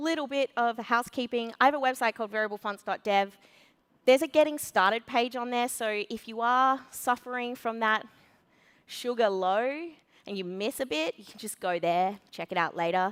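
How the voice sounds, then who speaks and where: A woman with an Australian accent talks at a moderate pace and a fairly high pitch, her loudness swinging widely, on a very clean recording with a silent background. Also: ordinary pitch variation, dry, close sound with no echo. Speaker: conference speaker, web developer. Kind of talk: conference talk. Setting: stage with audience.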